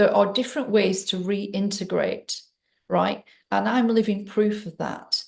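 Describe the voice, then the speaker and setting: At a fairly slow pace, a woman speaks with vocal fry, a medium pitch and ordinary pitch variation. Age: 60s. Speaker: trauma healing coach and abuse survivor. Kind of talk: personal testimony to camera. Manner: halting, with many fillers.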